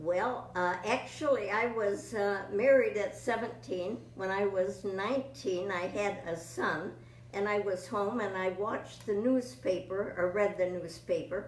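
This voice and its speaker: A woman speaks at a medium pitch and a fairly slow pace with hardly any pauses, her pitch varying in an ordinary way, while audible room echo and noticeable background noise come through. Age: 90s. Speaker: veteran sweepstakes entrant. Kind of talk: interview. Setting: sweepstakes convention.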